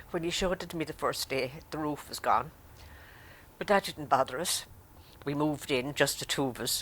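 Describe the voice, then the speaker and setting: With an Irish accent, a woman speaks with a very deep, low pitch. Her pace is fairly quick and her intonation fairly even. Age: 80s+. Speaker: grandmother. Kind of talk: interview testimony.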